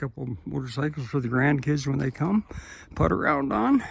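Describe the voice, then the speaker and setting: A man's somewhat breathy voice at a moderate pace. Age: 70s. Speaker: retired-age tractor contractor and vlogger. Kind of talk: casual video walkthrough monologue. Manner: halting, with fillers.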